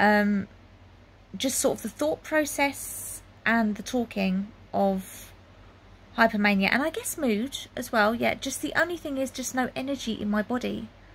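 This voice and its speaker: Her voice sits fairly high for a woman and is somewhat breathy. The woman speaks at a fairly slow pace with lively intonation. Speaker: health vlogger. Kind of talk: casual personal vlog monologue. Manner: hesitant, many fillers.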